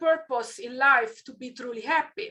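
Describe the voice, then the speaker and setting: Speaking with an Italian accent, the woman uses a raised, projected voice and a bright, sharp tone. Her intonation is lively, and her pace is moderate. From southern Italy, near Naples. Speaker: keynote speaker. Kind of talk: keynote talk. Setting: online event.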